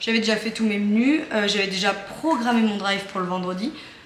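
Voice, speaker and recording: Over noticeable background noise and audible room echo, a woman speaks at a fairly high pitch. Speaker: family vlogger. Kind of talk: casual vlog talk. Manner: hesitant, many fillers.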